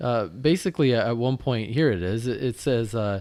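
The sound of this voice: The pitch variation is ordinary. The reading voice is unforced.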